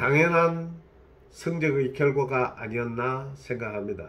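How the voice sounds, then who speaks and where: At a very slow pace, the voice comes across somewhat breathy. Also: man. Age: 60s. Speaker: licensed real estate agent. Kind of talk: casual talk to camera.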